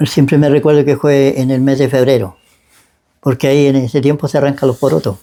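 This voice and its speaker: A man's fairly high, dark and mellow voice in a Chilean accent, fairly quick in pace, with fairly even intonation and very even loudness. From Chile, Biobío region. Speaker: church member giving testimony. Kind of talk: testimony interview. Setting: at his home. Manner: halting.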